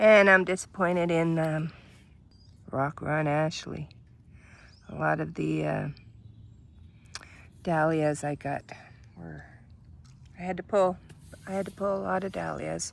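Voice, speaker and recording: Talking fairly slowly with long, frequent pauses, a woman speaks with a Canadian accent. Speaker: gardening vlogger. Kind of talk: casual garden tour. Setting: outdoors in front yard by busy street.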